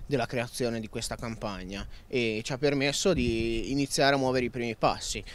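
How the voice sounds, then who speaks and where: Captured with a dry sound and no echo, a man talks at a moderate pace with ordinary pitch variation. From Liguria, Cinque Terre; Liguria. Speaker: young farmer. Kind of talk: interview. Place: street. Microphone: handheld.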